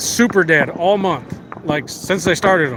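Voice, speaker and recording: High-pitched male speech with noticeable noise in the background. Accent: American. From US, Las Vegas. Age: 30s. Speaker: live streamer. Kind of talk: casual chat. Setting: outdoors. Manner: animated.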